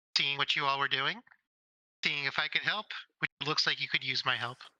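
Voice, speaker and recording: A put-on character voice at a low-to-middle pitch and a fairly quick pace. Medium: actual play. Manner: friendly, casual.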